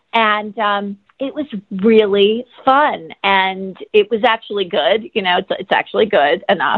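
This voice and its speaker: A woman with an American accent talks in an ordinary speaking voice at a fairly slow pace, with a medium pitch, ordinary pitch variation and hardly any pauses. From Los Angeles. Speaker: actress and yoga instructor. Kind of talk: interview, conversational. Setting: phone call.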